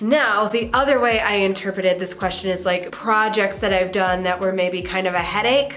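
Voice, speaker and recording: Over noticeable background noise, a woman speaks at a medium pitch and a moderate pace with hardly any pauses. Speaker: knitting and sewing vlogger. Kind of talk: casual talk to camera. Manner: cozy, relaxed.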